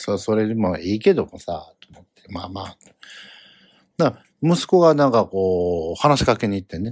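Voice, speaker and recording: A man speaks with a Kansai accent at a moderate pace. His pitch swings very widely. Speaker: comedian podcast host. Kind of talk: solo casual monologue. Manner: rambling with many fillers.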